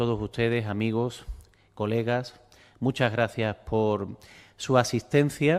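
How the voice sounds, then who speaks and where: This man talks very slowly. His pitch sits in the medium range. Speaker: art historian, lecturer. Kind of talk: lecture.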